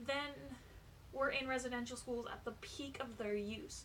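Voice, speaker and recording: Speaking in a raised, projected voice at a very slow pace, a woman with a Canadian accent shows ordinary pitch variation, with audible room echo and noticeable background noise. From Ontario, Canada. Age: 20s. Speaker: YouTuber. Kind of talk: informational vlog talk.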